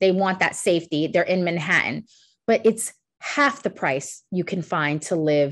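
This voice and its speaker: Against a quiet background, a woman with a New York accent speaks at a moderate pace in a fairly low voice. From New York City. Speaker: college international recruiter. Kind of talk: webinar presentation Q&A.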